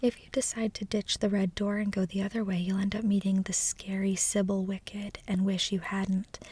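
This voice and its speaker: A soft-spoken woman talks at a fairly quick pace with flat, monotone intonation, the sound dry and close with no echo. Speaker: ASMR creator. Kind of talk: reading book blurbs aloud, casual.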